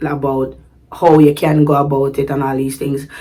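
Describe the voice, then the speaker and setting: With a Jamaican accent and a very deep, low pitch, a woman speaks at a fairly quick pace in an animated tone over noticeable background noise. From Sint Maarten, Jamaican background. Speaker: vlogger. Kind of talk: casual vlog talk. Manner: animated, code-switching to patois.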